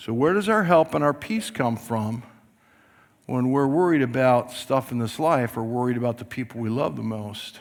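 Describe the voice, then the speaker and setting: A man speaks in a plain, everyday voice at medium pitch with ordinary pitch variation. His pace is moderate. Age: 60s. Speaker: pastor. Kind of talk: sermon.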